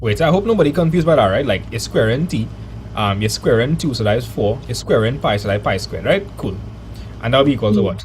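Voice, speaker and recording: Someone talks very fast in a Trinidadian accent. Noticeable background noise and audible room echo fill the recording. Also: man. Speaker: maths teacher streamer. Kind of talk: live online maths lesson. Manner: animated.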